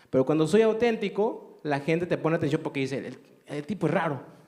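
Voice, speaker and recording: A man's dark, mellow tone comes across at a very fast pace. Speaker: radio host and preacher. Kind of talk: interview.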